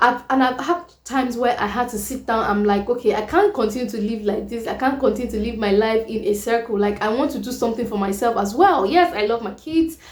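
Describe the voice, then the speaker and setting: Through noticeable background noise, a woman talks at a fairly quick pace with a fairly high pitch. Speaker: vlogger. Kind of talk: casual chat. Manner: soft-spoken. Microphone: too quiet.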